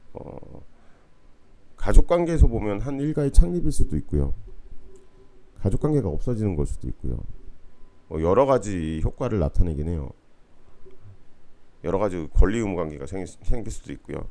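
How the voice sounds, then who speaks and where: A man's very deep voice, dark and mellow, at a moderate pace with very wide pitch swings, big shifts in loudness and long, frequent pauses. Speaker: university lecturer. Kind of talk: online lecture. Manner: casual, conversational.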